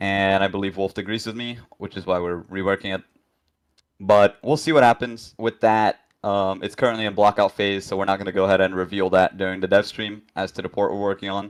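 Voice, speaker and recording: A man with a non-native accent, fairly low pitch and fairly even intonation, in a dry, close sound with no echo, on a very clean recording with a silent background. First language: not English. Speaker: game developer, 3D modeler. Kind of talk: live dev stream chat. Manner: hesitant, many fillers.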